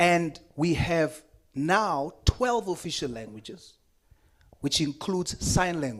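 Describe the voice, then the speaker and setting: A man with a South African accent speaks very slowly at fairly high pitch. His intonation is lively. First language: Afrikaans. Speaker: politician. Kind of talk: committee hearing statement.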